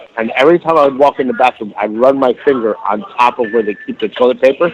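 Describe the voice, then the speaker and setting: Over noticeable background noise, a man talks very fast at a medium pitch with ordinary pitch variation. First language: Spanish. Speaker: chef. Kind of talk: casual chat.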